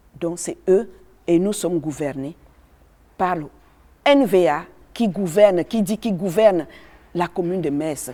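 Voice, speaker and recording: A woman speaks in a fairly low pitch at a fairly slow pace. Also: long, frequent pauses, big swings in loudness. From Cameroon. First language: a Cameroonian language (speaking French). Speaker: activist speaking on racism. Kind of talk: testimony. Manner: halting.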